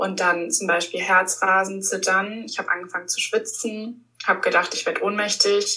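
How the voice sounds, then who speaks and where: A woman speaks at a moderate pace with fairly even intonation in a normal speaking voice. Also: medium pitch for a woman, hardly any pauses. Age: 20s. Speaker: stress coach. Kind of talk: interview.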